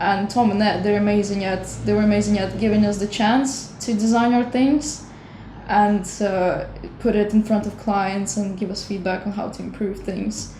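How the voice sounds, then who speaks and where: A woman talks at a moderate pace in a medium pitch, with a non-native accent and fairly even intonation. Audible room echo and noticeable background noise are present. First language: not English. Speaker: animator and designer. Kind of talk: interview. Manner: halting.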